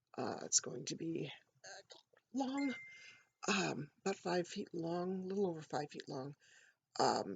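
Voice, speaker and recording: A woman speaks at a fairly slow pace in a fairly low, somewhat breathy voice, with very wide pitch swings and long, frequent pauses. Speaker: writer. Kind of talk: casual talk to camera.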